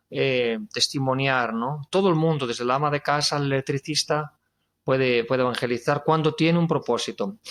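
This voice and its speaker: A man with a Galician accent speaks at fairly high pitch and a moderate pace. His pitch varies in an ordinary way, and the sound is dry and close with no echo. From Spain, Galicia. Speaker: guitarist and singer-songwriter. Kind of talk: testimony interview.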